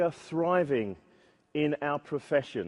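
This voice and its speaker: A man speaks with a British accent at a fairly slow pace. His pitch varies in an ordinary way. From Britain. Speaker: software testing conference speaker. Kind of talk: conference talk. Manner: hesitant, with filler words.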